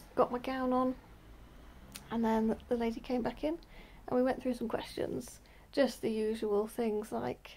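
Fairly slow in pace, the voice has a dark, mellow tone and fairly even intonation. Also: woman. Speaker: vlogger. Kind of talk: casual vlog chat telling a story. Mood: relaxed, chatty. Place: home room. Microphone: phone near.

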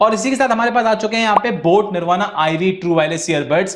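A man speaks at a very fast pace, his pitch varying in an ordinary way. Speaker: tech reviewer. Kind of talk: product review intro. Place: studio.

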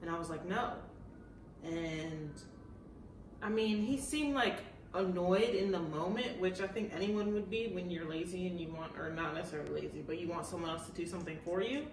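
Over noticeable background noise and audible room echo, a woman speaks fairly quickly in a fairly low pitch with ordinary pitch variation. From Baltimore, US. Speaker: YouTuber, fashion content creator. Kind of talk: casual chat.

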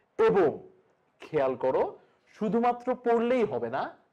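The voice has a dark, mellow tone with a slight southern Bengal accent. The background is quiet. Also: man. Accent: slight southern Bengal traits in sibilants. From Bangladesh, Kushtia (southern Bengal); Bangladesh. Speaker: online teacher. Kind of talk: lecture. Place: studio.

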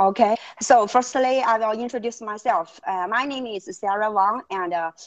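Moderately paced speech in a Chinese accent, with ordinary pitch variation and a quiet background. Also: woman. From China. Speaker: freight forwarder guest; guest. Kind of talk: webinar presentation and interview. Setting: video call. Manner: halting. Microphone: earbuds.

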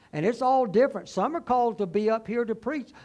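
High-pitched male voice with ordinary pitch variation. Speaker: preacher. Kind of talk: sermon. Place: church.

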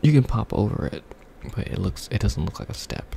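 This soft-spoken man has a very deep, low pitch that swings very widely. He talks at a fairly quick pace over light background noise. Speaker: ASMR creator. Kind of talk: relaxing ASMR video game commentary. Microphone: studio mic.

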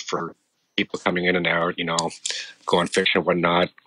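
In a Canadian accent, a man talks at a fairly quick pace. The sound is dry and close, with no echo. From Canada, Ontario countryside. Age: 40s. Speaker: military veteran. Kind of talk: interview testimony.

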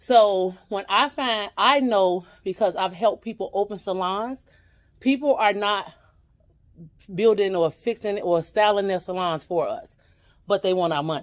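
A woman's medium-pitched voice, fairly slow in pace, with ordinary pitch variation and a quiet background. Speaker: YouTube vlogger; vlogger. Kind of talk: casual store tour vlog. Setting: in a thrift store. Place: shop. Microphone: phone near.

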